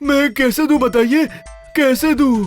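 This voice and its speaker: Someone speaks in a cartoonish character voice. Faint music plays in the background. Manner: stammering, jittery.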